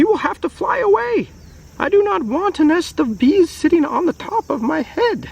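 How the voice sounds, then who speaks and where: Putting on a squeaky character voice, a man talks at a moderate pace with an extremely high pitch. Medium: read story.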